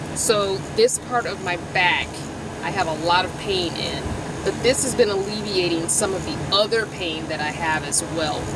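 A woman talks at a moderate pace over loud background noise. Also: dry sound with no echo. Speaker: van dweller vlogger. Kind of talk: casual product review. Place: car. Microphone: phone near.

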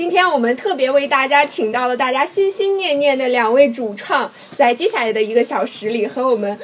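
A woman speaks with a high pitch, an animated tone and lively intonation. Light background noise can be heard. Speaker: livestream host. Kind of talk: hosting a promotional live stream. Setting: live stream studio. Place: studio.

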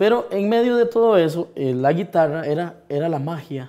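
This man speaks at a fairly high pitch with a dark, mellow tone and lively intonation. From Costa Rica, Los Santos area. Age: 30s. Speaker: singer. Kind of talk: interview. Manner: halting, many fillers.

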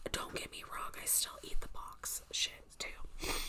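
A woman's whisper. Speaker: ASMR creator. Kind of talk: ASMR whisper-style talk to camera with air tracing. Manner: casual, chatty, friendly. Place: home room. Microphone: phone near.

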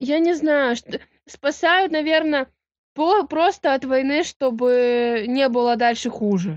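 A woman with a high pitch and lively intonation, very slow pace, dry sound without echo, quiet background. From Russian Far East; Russia. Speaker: railway worker. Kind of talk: casual chat. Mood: hesitant, unsure. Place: home room. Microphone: video call.

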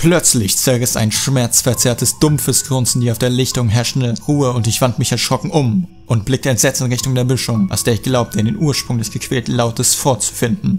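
Over music in the background, a man speaks at a fairly quick pace with hardly any pauses, his medium pitch showing ordinary variation. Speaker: creepypasta narrator. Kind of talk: horror story reading.

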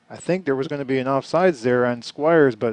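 With an ordinary speaking voice, a man talks at a fairly quick pace and fairly high pitch, keeping a fairly even intonation in a dry, close sound with no echo. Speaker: sports commentator. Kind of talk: live play-by-play sports commentary. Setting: high school stadium broadcast booth.

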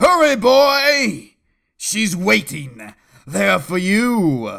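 A very slow, high-pitched put-on character voice from a man, in a very clean recording with a silent background. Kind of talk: comic overdramatic reading. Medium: comedy sketch. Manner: grave, urgent.

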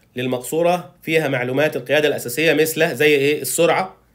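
A man is speaking. His pace is fairly quick, and his intonation is fairly even. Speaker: car reviewer. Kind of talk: product walkthrough.

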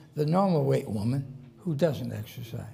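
Here a man is talking at a moderate pace. His intonation is lively. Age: 80s+. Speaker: nutritionist and physician, longevity expert. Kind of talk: lecture to an audience. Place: hall.

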